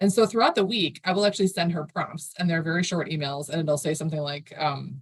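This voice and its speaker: A woman talks very fast in a somewhat breathy voice. Her pitch is fairly low. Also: ordinary pitch variation. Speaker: marketing agency founder. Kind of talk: podcast interview.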